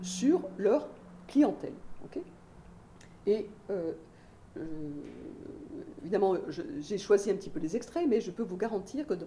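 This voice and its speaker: A woman with a medium-pitched, dark, mellow, somewhat breathy voice speaks very slowly with long, frequent pauses, very wide pitch swings and big shifts in loudness, her words carrying audible room echo. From Belgium. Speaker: sociologist, university researcher. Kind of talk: lecture. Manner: many hesitations (euh).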